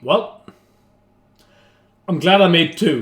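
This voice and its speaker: A somewhat breathy man speaks at a very slow pace. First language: not English. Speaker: YouTuber, beer chugging and cooking. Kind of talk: casual cooking vlog. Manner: chatty, hesitant with fillers.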